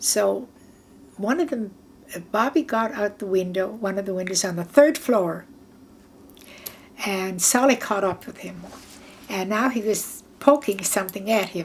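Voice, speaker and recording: Somewhat breathy, a woman speaks at a fairly slow pace with lively intonation, long, frequent pauses and big swings in loudness. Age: 80s+. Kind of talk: oral history interview answer. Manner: reminiscing, halting.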